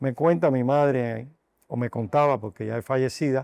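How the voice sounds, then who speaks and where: A man speaks at a fairly slow pace in a dark, mellow tone. His pitch varies in an ordinary way. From Cuba, Madruga near Havana. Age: 60s. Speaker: doctor and university health sciences director. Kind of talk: interview.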